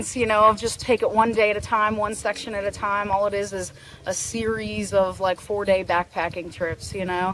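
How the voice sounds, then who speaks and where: Over noticeable background noise, a woman with an American accent talks at a fairly quick pace at a medium pitch in a monotone, flat intonation. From Pittsburgh, Pennsylvania. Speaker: tattoo artist, thru-hiker. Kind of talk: casual interview.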